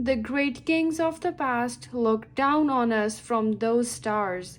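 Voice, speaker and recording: A woman's put-on character voice, high-pitched and delivered at a fairly slow pace. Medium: read story.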